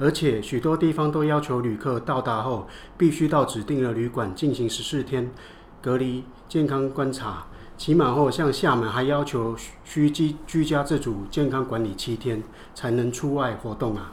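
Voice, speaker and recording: Medium in pitch and somewhat breathy, a man speaks. His pace is moderate and his pitch variation ordinary. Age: 60s. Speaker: business owner. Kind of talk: scripted dialogue.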